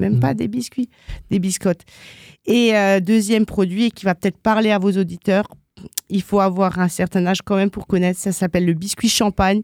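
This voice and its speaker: In a very clean recording with a silent background, a plain, everyday voice speaks at a moderate pace with a dry, close sound and no echo. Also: woman, medium pitch for a woman. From Alsace, France. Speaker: business owner. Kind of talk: radio interview.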